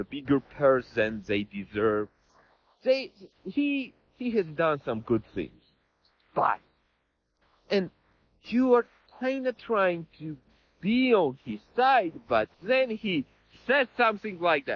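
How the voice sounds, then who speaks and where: A man talks at a very slow pace, his pitch swinging very widely. Long pauses come often. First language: not English. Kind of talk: interview.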